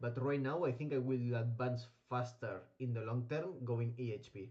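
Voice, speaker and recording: Speaking at a fairly slow pace, a man uses a medium pitch with ordinary variation and a dark, mellow, somewhat breathy tone. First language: not English (English is third language). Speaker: gaming streamer. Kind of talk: gameplay commentary livestream. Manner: hesitant, many fillers.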